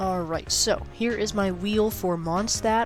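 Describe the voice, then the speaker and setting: Music plays in the background as a woman with an American accent speaks at a moderate pace. Audible room echo is present. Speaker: gaming youtuber. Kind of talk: casual gameplay commentary. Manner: animated.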